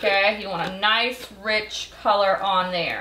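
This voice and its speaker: A woman speaks with fairly even intonation over noticeable background noise, and the room echo is audible. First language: Belizean English Creole. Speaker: home cooking show host. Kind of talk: cooking tutorial.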